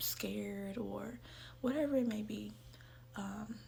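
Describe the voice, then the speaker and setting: Audible room echo is present in the clip. A woman's voice carries through it. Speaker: self-help video creator. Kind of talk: casual motivational talk. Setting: at home, in her room. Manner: soft-spoken.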